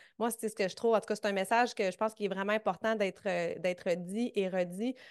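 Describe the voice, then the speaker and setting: Against a quiet background, the speaker talks with fairly even intonation in a Quebec accent. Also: woman. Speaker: fitness coach and podcast host. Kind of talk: interview.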